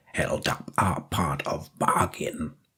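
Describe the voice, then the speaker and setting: A man puts on a character voice. He growls as he speaks. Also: very deep, low pitch for a man. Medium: read story. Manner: clipped broken grammar, curt.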